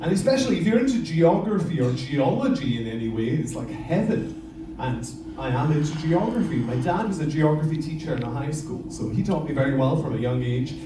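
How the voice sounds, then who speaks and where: Fairly quick speech with a Western Isles accent, audible room echo and noticeable background noise. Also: man. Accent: Scottish, Western Isles. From Scotland, Isle of Lewis, Outer Hebrides. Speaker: lava show presenter, former teacher. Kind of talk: live show presentation to audience. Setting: stage with audience. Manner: animated.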